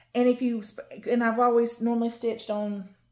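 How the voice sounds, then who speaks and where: A woman with a Southern US accent, fairly high in pitch, at a moderate pace. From North Carolina, US South. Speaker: cross-stitch YouTuber. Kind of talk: casual show-and-tell haul video. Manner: rambling with fillers.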